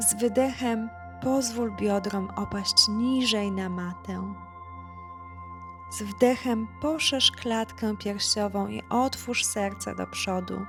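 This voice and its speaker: A woman speaks at a very slow pace in a calm tone. Music plays in the background. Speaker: yoga instructor. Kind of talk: guided yoga class instruction. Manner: calm, soft-spoken.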